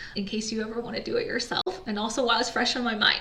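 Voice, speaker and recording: A woman's very fast speech with fairly even intonation, noticeable background noise and audible room echo. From United States. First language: Chinese. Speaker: entrepreneur, business founder. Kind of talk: personal story monologue. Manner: casual, conversational.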